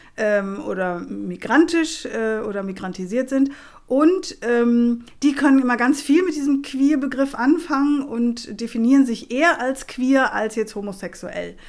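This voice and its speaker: Her intonation is lively and her pitch high for a woman. This woman speaks at a fairly slow pace with hardly any pauses. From Germany. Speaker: activist and lecturer. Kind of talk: casual interview conversation.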